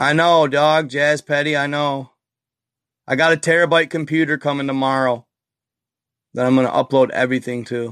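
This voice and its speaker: At a moderate pace and a fairly high pitch, a man speaks with long, frequent pauses, the sound dry and close with no echo and the background quiet. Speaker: livestreamer. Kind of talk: casual livestream chat. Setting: live video stream. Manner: loud; animated.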